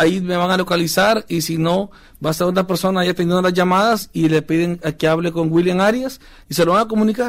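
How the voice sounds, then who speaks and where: A man with a high voice talks at a fairly quick pace with fairly even intonation. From El Salvador. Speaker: former professional footballer. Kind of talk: testimony. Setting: studio.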